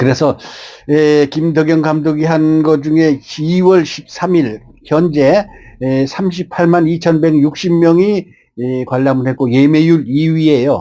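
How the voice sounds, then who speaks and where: Very slow speech from a man, dark and mellow in tone, with fairly even intonation. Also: fairly high pitch for a man. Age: 70s. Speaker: painter and YouTuber. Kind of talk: film review monologue. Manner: casual with many fillers.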